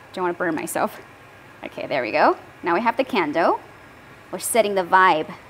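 A woman's fairly quick, lively-intoned speech with long, frequent pauses over light background noise. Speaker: livestream host demonstrating laser products. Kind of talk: livestream product demo and sales pitch. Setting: online livestream. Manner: animated, cheerful, laughs often. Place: workshop. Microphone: lapel.

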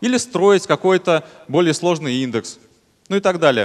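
A quiet background and a man's moderate pace. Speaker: conference speaker. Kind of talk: technical conference talk. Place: hall. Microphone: headset.

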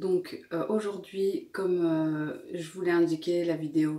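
A woman's fairly low, monotone, flat voice at a fairly slow pace, with audible room echo and a quiet background. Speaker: lifestyle vlogger. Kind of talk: casual vlog chat. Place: kitchen. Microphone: phone near.

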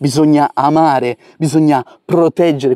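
This man has a fairly high pitch and a dark, mellow tone. The sound is dry and close, with no echo. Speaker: wildlife educator, herpetologist. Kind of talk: nature vlog narration. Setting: outdoors by a river. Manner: soft-spoken.

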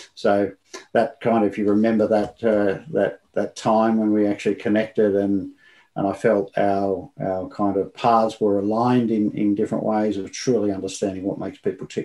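A man talks in a monotone, flat intonation, and the background is quiet. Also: moderate pace. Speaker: remote guest. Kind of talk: interview answer. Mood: warm, smiling, reflective. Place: home room.

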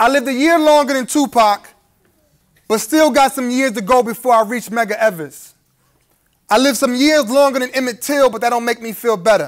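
Against a quiet background, a man with an American accent talks at a fairly quick pace in an extremely high pitch with ordinary pitch variation. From Brooklyn, New York. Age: 30s. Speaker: spoken word poet. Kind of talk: live spoken word poetry performance. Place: hall.

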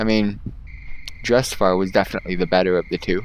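Against light background noise, a man with a very deep, low pitch speaks at a moderate pace, the sound dry with no echo. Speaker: gaming YouTuber. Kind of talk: gameplay commentary. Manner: casual, excitable, profane. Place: home room.

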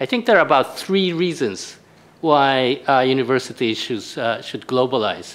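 With a Japanese accent, a man talks at a moderate pace in a medium pitch, his intonation lively. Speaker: university vice president; panelist. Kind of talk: panel discussion. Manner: halting. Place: hall. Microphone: podium.

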